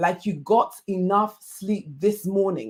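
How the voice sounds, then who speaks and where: A woman speaks with a Yoruba accent. Her voice is somewhat breathy. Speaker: life coach. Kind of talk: online masterclass talk. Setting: livestream.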